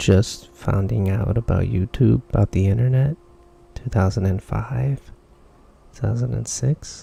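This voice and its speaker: At a fairly slow pace, the voice makes very wide pitch swings in a dry, close sound with no echo. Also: man, fairly low pitch for a man. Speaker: vlogger. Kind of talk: casual monologue. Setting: dark room, on camera. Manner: soft-spoken; halting.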